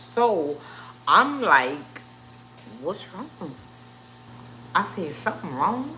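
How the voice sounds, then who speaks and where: A woman speaks at a very slow pace in a New Orleans accent, with long, frequent pauses and very wide pitch swings. Audible room echo and noticeable background noise fill the recording. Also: medium pitch for a woman. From New Orleans, Louisiana. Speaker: cooking channel host, live streamer. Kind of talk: casual livestream health update. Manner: halting, many fillers.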